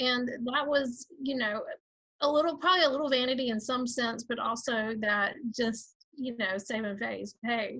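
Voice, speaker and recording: A woman's high, bright, sharp voice in a Georgia accent, at a moderate pace with ordinary pitch variation. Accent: Southern (Georgia). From Georgia, US South. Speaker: author and writing coach. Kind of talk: interview.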